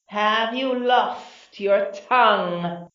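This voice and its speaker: A put-on character voice from a woman, fairly high-pitched and menacing in tone, hissing, with ordinary pitch variation. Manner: hissing, menacing.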